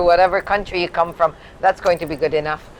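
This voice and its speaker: A woman's voice shows ordinary pitch variation amid noticeable background noise. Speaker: health insurance representative. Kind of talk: interview.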